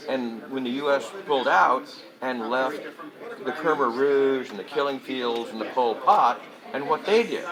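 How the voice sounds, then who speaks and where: Noticeable background noise and audible room echo surround a man speaking at a fairly slow pace. His pitch is medium, with ordinary variation. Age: 70s. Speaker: Vietnam-era veteran and convention speaker. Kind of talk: casual interview. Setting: political convention.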